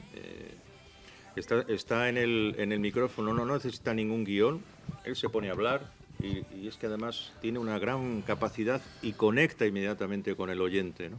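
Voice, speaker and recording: A man with a normal speaking voice talks at a moderate pace and medium pitch, his intonation fairly even. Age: 60s. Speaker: radio news presenter. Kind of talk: interview answering children's questions. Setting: school room with live audience of children.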